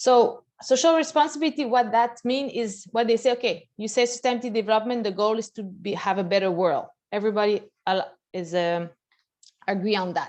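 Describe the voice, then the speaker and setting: A woman in a Quebec accent talks with lively intonation at a fairly high pitch over a quiet background. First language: French. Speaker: bank executive. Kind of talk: presentation. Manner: halting.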